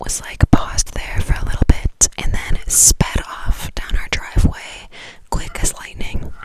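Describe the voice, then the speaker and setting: A woman whispers over noticeable background noise. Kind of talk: ASMR whisper ramble. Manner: whispered.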